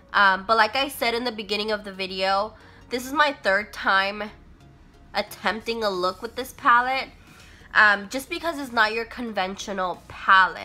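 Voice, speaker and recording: Music plays in the background as a woman speaks at a fairly high pitch with ordinary pitch variation. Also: moderate pace. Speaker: beauty vlogger. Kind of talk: makeup review talk to camera.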